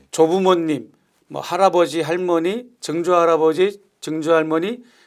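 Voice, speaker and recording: A high-pitched man in a very clean recording with a silent background. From South Korea, Gyeonggi (Yangpyeong). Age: 60s. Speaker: pastor. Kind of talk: interview.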